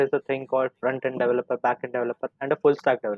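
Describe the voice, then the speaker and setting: Here a man speaks at a fairly high pitch. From India, Mumbai. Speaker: engineering student, intern. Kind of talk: interview questions. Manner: polite, formal.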